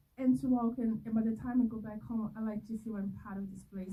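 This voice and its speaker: With a Brazilian accent, a woman talks at a fairly quick pace, her pitch fairly high with ordinary variation. Her tone is dark and mellow, and somewhat breathy. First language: Portuguese. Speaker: filmmaker. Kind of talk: festival Q&A. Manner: animated.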